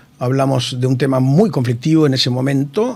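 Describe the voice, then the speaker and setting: Amid noticeable background noise, a man speaks at a moderate pace and medium pitch with fairly even intonation. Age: 60s. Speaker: engineer and hospital director. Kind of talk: interview. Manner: halting, many fillers.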